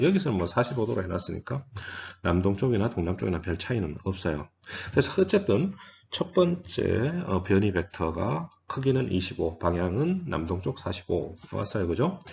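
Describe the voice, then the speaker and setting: Somewhat breathy delivery at a moderate pace, with lively intonation. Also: man. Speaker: physics lecturer. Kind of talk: lecture.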